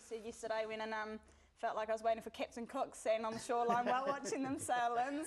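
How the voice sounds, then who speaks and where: Speaking at a very fast pace, a woman has a high pitch. She talks with a New Zealand accent. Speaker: jockey. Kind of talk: casual chat.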